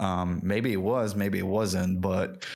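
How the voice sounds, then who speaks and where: A man with a French accent, a fairly low pitch and a moderate pace. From France and Lebanon. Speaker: game industry professional. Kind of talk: podcast interview. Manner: halting, with many fillers.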